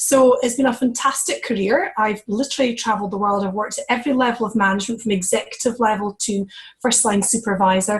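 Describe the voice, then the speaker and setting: Talking at a very fast pace, a woman with a Scottish accent uses a fairly high pitch. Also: ordinary pitch variation. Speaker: network marketing executive, former leadership coach. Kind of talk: testimony on a conference call.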